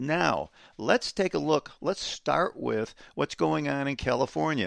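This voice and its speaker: At a moderate pace, this voice shows vocal fry and very wide pitch swings, recorded dry and close with no echo against a quiet background. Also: man. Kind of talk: angry rant. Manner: sarcastic, indignant, incredulous.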